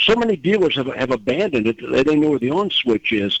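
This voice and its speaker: A man with a plain, everyday voice speaks at a fairly high pitch with lively intonation. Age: 60s. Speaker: auto industry executive. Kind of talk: panel discussion.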